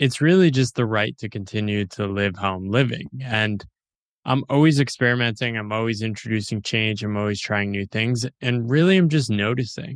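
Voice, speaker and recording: A man's unremarkable speaking voice at a medium pitch and moderate pace, with ordinary pitch variation in a very clean recording with a silent background. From US, small town. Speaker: author and independent writer. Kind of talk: interview. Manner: casual.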